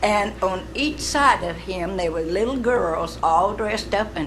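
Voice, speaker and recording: A woman speaks with an Arkansas accent at a very slow pace. Music plays in the background, and there is audible room echo. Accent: Southern US (Arkansas). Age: 80s+. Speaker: honored centennial family member. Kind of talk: ceremony remarks. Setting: city council meeting.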